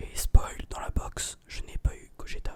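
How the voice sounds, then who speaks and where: A man whispers at a very slow pace. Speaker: ASMR and gaming video creator. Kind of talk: casual talk to camera.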